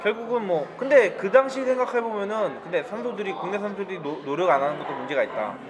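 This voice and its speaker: A man's high-pitched voice at a fairly quick clip, lively in intonation with hardly any pauses, over noticeable background noise. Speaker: podcast host. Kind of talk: casual chat. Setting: cafe with background music.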